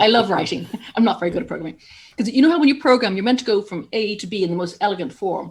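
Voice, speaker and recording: With an Irish accent, a woman talks very fast in a fairly high, somewhat breathy voice, her intonation lively and her loudness swinging widely. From Ireland. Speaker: journalist and broadcaster. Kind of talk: interview.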